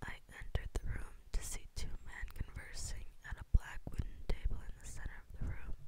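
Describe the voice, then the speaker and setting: A woman whispers at a fairly slow pace. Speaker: ASMR creator. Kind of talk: reading own novel excerpt. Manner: whispered. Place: home room. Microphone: studio mic.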